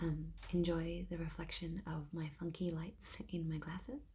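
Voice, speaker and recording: This soft-spoken voice moves at a fairly slow pace. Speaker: ASMR creator. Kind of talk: ASMR softly spoken rambling.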